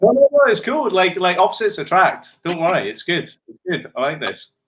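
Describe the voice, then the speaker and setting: A man with an Edinburgh accent speaks in a high voice at a fairly quick pace. His intonation is lively, and his loudness swings widely. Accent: Edinburgh Scottish. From Scotland, Edinburgh. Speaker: TV producer, dating contestant. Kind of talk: speed date chat. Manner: casual.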